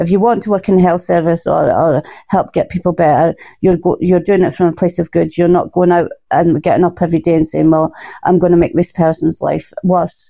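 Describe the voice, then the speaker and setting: A woman with a Scottish accent speaks at a fairly quick pace in a fairly low voice, her intonation monotone and flat and her loudness very even. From Scotland. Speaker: recovery organization worker. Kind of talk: interview. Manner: nervous at first.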